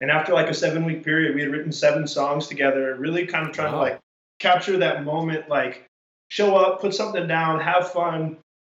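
Here is a man with a plain, everyday voice at a fairly high pitch. He talks at a fairly quick pace with fairly even intonation. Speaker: musician in electronic band. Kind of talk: casual chat, interview.

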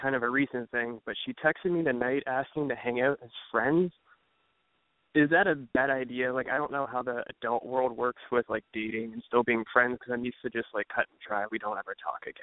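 This man has an American accent and a medium-pitched voice with fairly even intonation. He talks at a fairly quick pace with big swings in loudness. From Cleveland, Ohio. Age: 20s. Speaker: caller. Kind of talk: call-in advice conversation. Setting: phone call.

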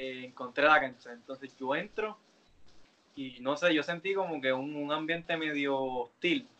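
Speaking in a plain, everyday voice, a man uses a fairly high pitch, ordinary pitch variation and a fairly slow pace. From Puerto Rico, Carolina. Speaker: professional wrestler. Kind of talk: interview.

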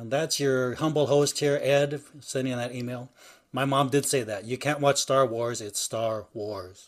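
On a very clean recording with a silent background, a man with a normal speaking voice talks at a fairly slow pace, medium in pitch with fairly even intonation. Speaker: podcast co-host.

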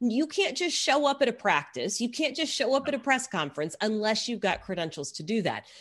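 A woman's fairly high, fairly quick American-accented voice with very wide pitch swings, vocal fry and hardly any pauses. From Texas. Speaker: sports broadcaster and sideline reporter. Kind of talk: interview conversation.

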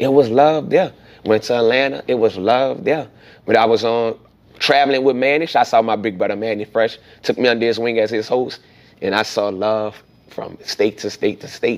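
A man talks in an animated tone at a moderate pace. His medium pitch shows ordinary pitch variation. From New Orleans. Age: 40s. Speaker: event host and comedian. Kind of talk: casual interview.

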